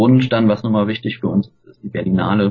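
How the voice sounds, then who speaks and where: Fairly even in intonation, a man talks at medium pitch in a normal speaking voice. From Germany, Cologne. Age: 30s. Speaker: film festival team member. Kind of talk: casual interview.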